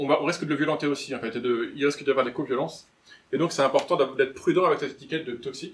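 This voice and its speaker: Fairly high in pitch, a man rushes along at a very fast pace while his intonation stays fairly even. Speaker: clinical psychologist, lecturer. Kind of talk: lecture. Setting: conference room with live audience. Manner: not clearly articulated.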